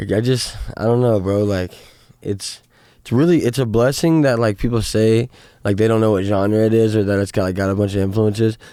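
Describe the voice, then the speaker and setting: A man's fairly low voice with an American accent at a moderate pace, fairly even intonation and very even loudness, broken by long, frequent pauses, on a very clean recording with a silent background. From US Midwest, southwest Missouri. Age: 20s. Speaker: musician. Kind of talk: casual interview. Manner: halting, many fillers and restarts.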